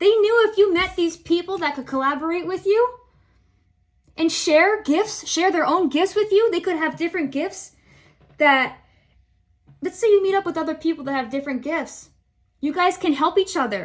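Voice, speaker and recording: A woman speaks at a moderate pace in an extremely high pitch, with an animated tone, ordinary pitch variation, and long, frequent pauses. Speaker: tarot reader. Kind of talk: tarot reading to camera.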